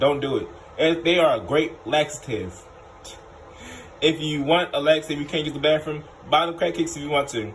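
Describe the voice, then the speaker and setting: A fairly high-pitched male voice, animated and fairly quick, broken by long, frequent pauses over light background noise. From Baltimore, Maryland, US. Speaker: food reviewer, YouTuber. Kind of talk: casual food review vlog. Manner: animated, repetitive. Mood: playful, joking.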